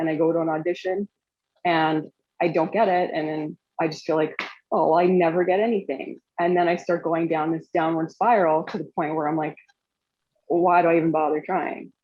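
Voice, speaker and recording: A woman with a plain, everyday voice, fairly low in pitch, fairly even in intonation, at a moderate pace. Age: 40s. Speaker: audience participant, actor. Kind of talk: casual chat.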